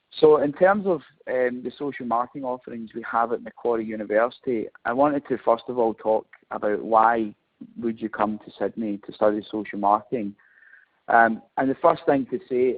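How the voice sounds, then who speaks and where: A man with a Scottish accent speaks at a moderate pace, at a medium pitch with ordinary pitch variation. His loudness swings widely. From Scotland. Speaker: marketing professor. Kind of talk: webinar presentation. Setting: webinar. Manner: hesitant, frequent fillers.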